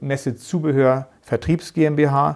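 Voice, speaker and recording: A man's fairly high, monotone voice with flat intonation and a northern German accent, at a very slow pace. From northern Germany, Geesthacht near Hamburg. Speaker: managing director of a flooring company. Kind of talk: interview.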